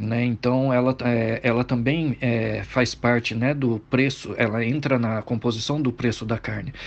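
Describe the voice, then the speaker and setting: A man talks at a fairly slow pace in a medium pitch, his intonation monotone and flat, with hardly any pauses. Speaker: political commentator. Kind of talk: casual chat.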